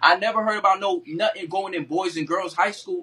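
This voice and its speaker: His voice is high-pitched, with a bright, sharp tone and ordinary pitch variation. The man speaks at a fairly quick pace in a raised, projected voice. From New York City, Brooklyn. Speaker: live-stream host. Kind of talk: heated debate. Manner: animated.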